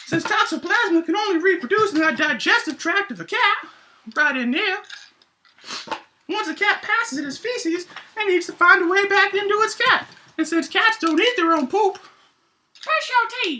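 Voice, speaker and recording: Putting on a character voice, a man hits an extremely high pitch at a moderate pace, with long, frequent pauses. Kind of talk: educational science explainer.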